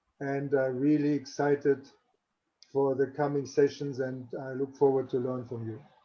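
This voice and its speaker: Flat and monotone, a man with a German accent speaks at a moderate pace in a fairly high pitch. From Germany. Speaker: athletics coach. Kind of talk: panel discussion.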